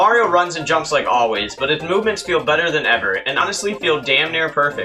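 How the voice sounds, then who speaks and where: With music playing behind him, a man rattles off his words very quickly, his intonation full of life. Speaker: YouTube retrospective narrator. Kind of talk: video game retrospective narration. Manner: casual, humorous.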